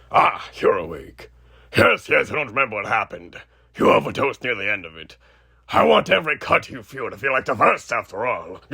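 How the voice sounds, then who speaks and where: At a fairly quick pace, a man performs a raspy, put-on character voice. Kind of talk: horror roleplay audio. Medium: solo performance. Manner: casual, sardonic, cruelly playful.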